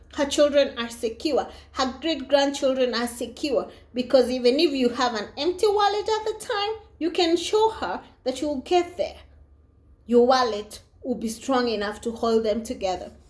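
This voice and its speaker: With an animated tone and very wide pitch swings, a woman talks at a moderate pace in a high voice. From Africa. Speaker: vlogger. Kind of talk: casual monologue.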